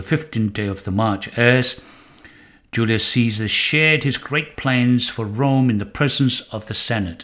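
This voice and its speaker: Recorded very cleanly with a silent background, a man with an unremarkable speaking voice talks at a moderate pace in a medium pitch with ordinary pitch variation. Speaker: Bible teacher. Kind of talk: Bible lecture with history narration, quoting scripture verses. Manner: formal, measured, didactic.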